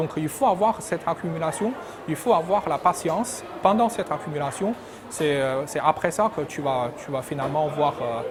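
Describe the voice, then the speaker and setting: Against noticeable background noise, a man with a Chinese accent and a fairly high voice speaks at a moderate pace with lively intonation. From China. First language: Chinese (speaking French). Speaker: PhD graduate, engineering researcher. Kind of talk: interview answers. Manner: hesitant, repetitive.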